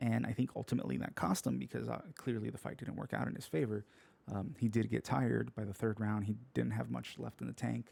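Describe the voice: A man talks at a fairly quick pace, medium in pitch with little pitch movement. His voice is croaky with vocal fry and a slightly mellow tone.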